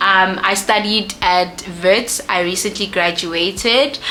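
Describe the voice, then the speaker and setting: Against noticeable background noise, a woman talks at medium pitch with fairly even intonation. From South Africa, Soweto (Johannesburg). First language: a South African Bantu language (not English). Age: 20s. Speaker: YouTuber, lifestyle and beauty content creator. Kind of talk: casual Q&A vlog while doing makeup. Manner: casual, with many fillers.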